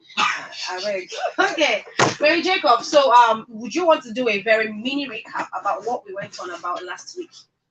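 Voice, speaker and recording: At a moderate pace, a man speaks in an extremely high pitch with lively intonation and big swings in loudness, against noticeable background noise. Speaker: show host. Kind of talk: interview.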